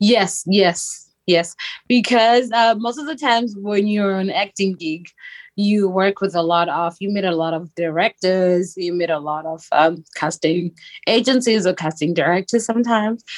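With a Zimbabwean accent, a woman speaks at a medium pitch and moderate pace, with ordinary pitch variation. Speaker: actress, model and philanthropist. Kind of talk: interview.

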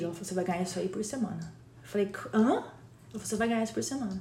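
With lively intonation and a medium pitch, a woman speaks at a very fast pace, with audible room echo around her. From Brazil. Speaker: community leader. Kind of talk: casual chat. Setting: recording with a Hudson River view, trains nearby.

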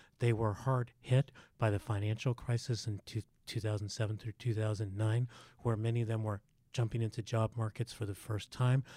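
Dark, mellow, somewhat breathy male voice at medium pitch, fairly quick and monotone with flat intonation, in a very clean recording with a silent background and a dry, close sound with no echo. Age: 60s. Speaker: economist and sociology professor. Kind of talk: interview.

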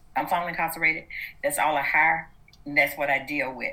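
Here a woman talks with a Southern US accent. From US South, Atlanta, Georgia. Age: 60s. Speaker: activist. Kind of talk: interview.

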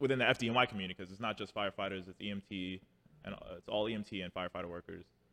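In a New York accent, a man speaks at a very fast pace with a fairly low pitch and fairly even intonation. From New York City (Harlem). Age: 30s. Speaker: firefighter. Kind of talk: casual chat.

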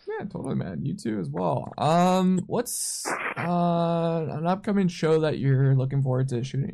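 An unremarkable speaking voice from a man, fairly high and fairly slow, with lively intonation. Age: 20s. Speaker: podcast host and concert photographer. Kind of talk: casual chat.

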